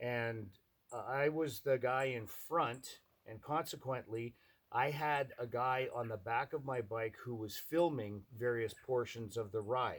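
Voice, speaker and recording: An unremarkable speaking voice belongs to this man, pitched in the medium range. He talks at a fairly slow pace with fairly even intonation. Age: 60s. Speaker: motorcycle appraiser. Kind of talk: casting self-introduction monologue. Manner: casual, conversational with fillers.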